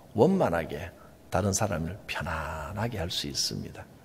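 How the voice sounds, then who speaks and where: With audible echo from the room, a man talks very slowly. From Gyeongsang Province, South Korea. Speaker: pastor. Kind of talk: sermon.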